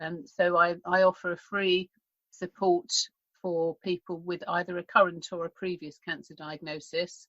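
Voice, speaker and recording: Dry and close with no echo, a woman's fairly low voice moves at a moderate pace with monotone, flat intonation. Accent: British. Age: 60s. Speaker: health mentor and radio host. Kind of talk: interview. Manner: halting, many repetitions.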